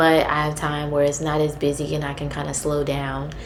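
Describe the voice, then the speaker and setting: A soft-spoken woman with a very deep, low pitch is heard with audible room echo and noticeable background noise. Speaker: vlogger, grad student and data analyst. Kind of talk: casual advice vlog. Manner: halting, many fillers.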